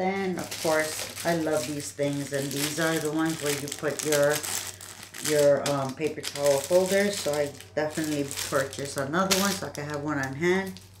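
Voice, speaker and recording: Over noticeable background noise, a woman with a very deep, low pitch speaks at a moderate pace with ordinary pitch variation. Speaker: unboxing vlogger. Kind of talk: casual vlog chat. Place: home room. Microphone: webcam.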